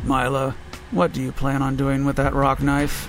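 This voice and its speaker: A man's put-on character voice at medium pitch, with clear background noise. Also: moderate pace. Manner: monotone.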